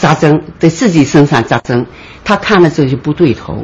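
Noticeable background noise sits behind this recording. A man speaks at a fairly high pitch and moderate pace. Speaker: retired obstetrician, former colleague. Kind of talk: interview recollection. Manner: animated.

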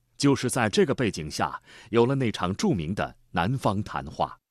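A man speaks at a moderate pace with very wide swings in pitch. The background is quiet. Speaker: documentary narrator. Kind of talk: state documentary narration, solemn scripted voiceover with measured, rhetorical delivery. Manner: formal, stately, steady pace with emphatic rising cadence on slogans.

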